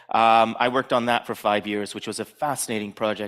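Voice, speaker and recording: In a very clean recording with a silent background, a man with an unremarkable speaking voice talks at a fairly quick pace in a medium pitch with fairly even intonation. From Canada, Toronto. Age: 40s. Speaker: conference speaker, design director. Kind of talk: conference talk.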